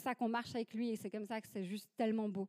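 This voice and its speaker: Dry and close with no echo, a woman's voice comes through at a fairly high pitch. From Switzerland. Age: 30s. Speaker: church ministry leader, guest preacher. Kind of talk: sermon.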